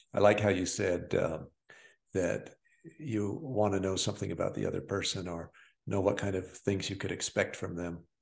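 Here is a man with an ordinary speaking voice and an American accent, his pitch fairly low. He moves at a moderate pace with ordinary pitch variation. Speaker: podcast co-host. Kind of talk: casual podcast conversation.

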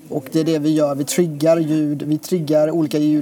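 Male speech, fairly high in pitch, at a moderate pace amid noticeable background noise. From Sweden. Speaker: poet and photographer. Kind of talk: casual interview. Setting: restaurant. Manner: halting.

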